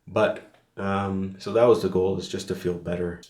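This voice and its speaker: A man speaks at a fairly slow pace in a very deep, low voice with flat, monotone intonation. Audible echo from the room surrounds his words. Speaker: fitness vlogger. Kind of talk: casual vlog monologue. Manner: rambling, filler-heavy.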